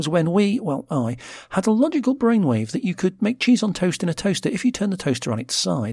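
Here a man with a British accent speaks at a high pitch and a fairly quick pace, with very wide pitch swings. The sound is dry and close with no echo, a very clean recording with a silent background. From Britain. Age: middle-aged. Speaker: podcast host. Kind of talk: scripted solo podcast narration with linked contributions.

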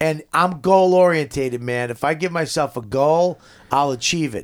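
A man with a Boston accent and lively intonation, at a fairly slow pace, on a very clean recording with a silent background. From Boston area, Medford. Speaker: comedian. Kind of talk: casual chat.

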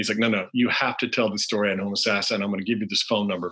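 Talking very fast with an American accent, a man has a fairly low pitch, a bright, sharp tone and monotone, flat intonation. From US South (Alabama, North Carolina). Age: 40s. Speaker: author. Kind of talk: interview storytelling.

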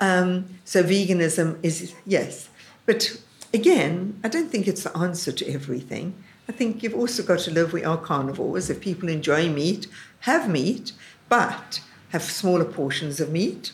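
This woman has a medium pitch and a somewhat breathy voice. She speaks at a moderate pace with ordinary pitch variation. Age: 70s. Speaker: cookery school founder. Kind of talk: casual interview. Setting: cookery school.

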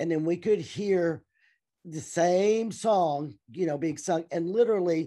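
With a Southern US accent, a woman speaks at a fairly slow pace in a fairly low pitch. Her tone is dark and mellow, her intonation lively, and the background quiet. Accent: Southern American. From US South, Tennessee. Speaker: teacher and churchgoer. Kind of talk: interview testimony.

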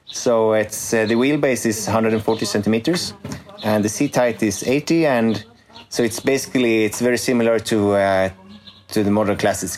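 A man's fairly low voice at a moderate pace, very even in loudness and fairly even in intonation, over noticeable background noise. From Sweden. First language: Swedish (speaking German). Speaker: company CEO. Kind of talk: interview in English. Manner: hesitant with fillers.

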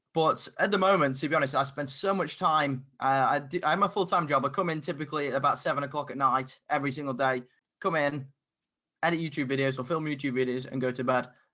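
Speaking very fast with a British accent, a man uses a fairly high pitch and fairly even intonation. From UK. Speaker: YouTuber on men's style. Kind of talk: podcast interview.

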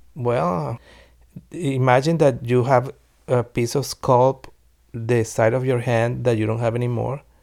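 In a Venezuelan accent, a man speaks at a fairly slow pace with fairly even intonation. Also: medium pitch for a man. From Venezuela (Caracas), Italian parents. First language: Spanish. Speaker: singer-songwriter. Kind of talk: interview testimony. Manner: halting, repeating words.

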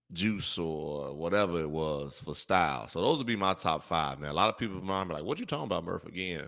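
With an American accent, a man with a very deep, low pitch talks at a fairly quick pace with ordinary pitch variation and hardly any pauses, on a very clean recording with a silent background. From US Midwest, Gary, Indiana and Chicago. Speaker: podcaster and former basketball player. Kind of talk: casual chat.

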